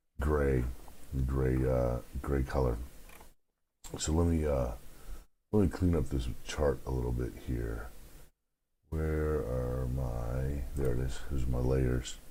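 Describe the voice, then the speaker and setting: A man's very deep, low voice in a dark, mellow tone, at a very slow pace with long, frequent pauses, fairly even intonation and audible room echo. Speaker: stock market analyst. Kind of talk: market analysis tutorial. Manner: hesitant, many fillers.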